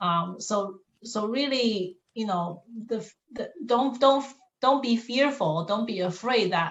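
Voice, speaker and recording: The speaker talks at a very slow pace in a somewhat breathy voice with a non-native accent. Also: woman, fairly high pitch for a woman, ordinary pitch variation. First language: not English. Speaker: college staff member. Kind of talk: panel discussion.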